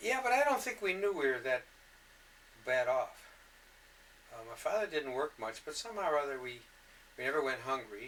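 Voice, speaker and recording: Noticeable background noise sits under speech that moves at a fairly quick pace, with very wide pitch swings and long, frequent pauses. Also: man, fairly high pitch for a man. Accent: Michigan. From Detroit, Michigan. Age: 60s. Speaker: interviewee recounting life story. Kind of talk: oral history interview. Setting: home recording. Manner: halting.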